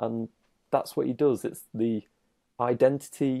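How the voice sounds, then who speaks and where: A man's medium-pitched voice, dark and mellow in tone, at a moderate pace, dry and close with no echo, in a very clean recording with a silent background. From Britain. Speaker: dating coach. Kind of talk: casual chat.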